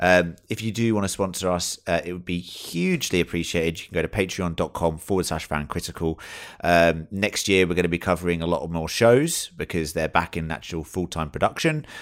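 A man speaks in a British accent. His pitch is very deep and low, and his intonation is fairly even. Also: fairly quick pace, very clean recording, silent background. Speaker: podcast host. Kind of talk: casual chat.

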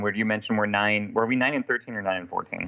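At a moderate pace, a man talks in an unremarkable speaking voice with medium pitch. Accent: American. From Portland, Oregon. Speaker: sports fan, T-shirt artist. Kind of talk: casual chat. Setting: video call.

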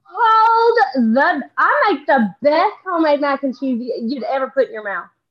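With a Southern US accent, a woman speaks at a high pitch, with very wide pitch swings and big swings in loudness. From Texas. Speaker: social media comedian. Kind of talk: casual chat. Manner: fast talker.

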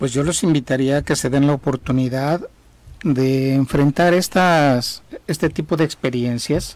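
This man has a plain, everyday voice, pitched fairly high. He talks at a fairly slow pace with very even loudness. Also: ordinary pitch variation. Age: 60s. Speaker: civil engineer and former thanatology student. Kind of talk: radio interview testimony.

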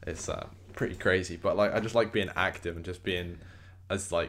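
A man with a British accent and a very deep, low pitch. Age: 20s. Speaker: podcast host and film student. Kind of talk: casual chat.

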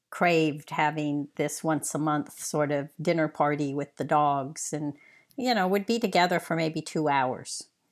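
In a very clean recording with a silent background, a woman speaks with an American accent at a very deep, low pitch. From US Mid-Atlantic, Arlington, Virginia. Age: 60s. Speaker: retiree. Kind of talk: interview. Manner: halting, repeats words.

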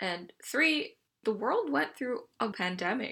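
This voice has a bright, sharp tone and a Canadian accent. It moves at a fairly slow pace. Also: woman, very clean recording, silent background. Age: 20s. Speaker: podcast host. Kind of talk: personal monologue.

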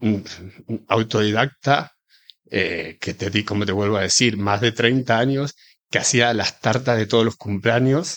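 This man talks at a fairly slow pace with an Argentine accent. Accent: Argentine, marked. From Argentina, rural Buenos Aires province. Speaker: chef and pastry cook. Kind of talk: interview.

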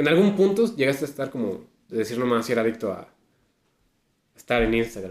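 A man with a Mexican accent at a very fast pace, lively in intonation, with long, frequent pauses. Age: 40s. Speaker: podcast co-host. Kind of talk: casual chat.

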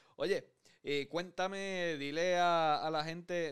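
The recording is very clean, with a silent background. A man with a plain, everyday voice speaks at a fairly high pitch with fairly even intonation. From Puerto Rico. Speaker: podcast host. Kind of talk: casual interview.

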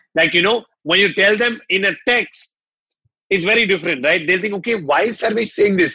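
A man's raised, projected voice, high in pitch with ordinary variation, bright and sharp in tone, with very even loudness. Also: fairly quick pace. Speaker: yoga entrepreneur. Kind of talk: interview. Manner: animated.

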